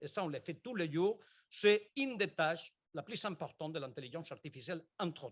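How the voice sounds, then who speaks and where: Speaking fairly quickly with a Spanish accent, a man uses lively intonation. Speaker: engineering researcher. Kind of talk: conference talk.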